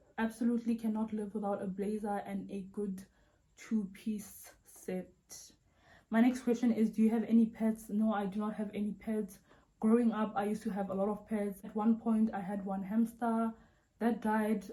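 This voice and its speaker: At a moderate pace, a woman with a South African accent speaks in a fairly high, somewhat breathy voice with a dark, mellow tone and monotone, flat intonation. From South Africa, Vaal Triangle south of Johannesburg. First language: Sotho. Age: 20s. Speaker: YouTuber. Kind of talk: Q&A video monologue. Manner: casual, chatty.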